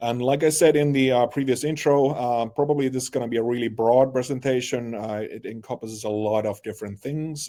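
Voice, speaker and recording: A man with a Finnish accent and a dark, mellow tone speaks at medium pitch and a fairly quick pace, with fairly even intonation. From Finland. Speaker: marketing creative presenter. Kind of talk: webinar presentation.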